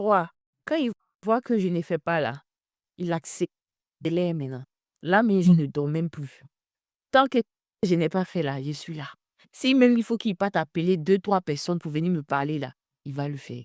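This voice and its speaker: On a very clean recording with a silent background and a dry, close sound with no echo, a woman with a fairly low pitch speaks at a moderate pace with lively intonation, big swings in loudness and long, frequent pauses. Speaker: talk show host. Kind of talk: testimony. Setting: live video stream.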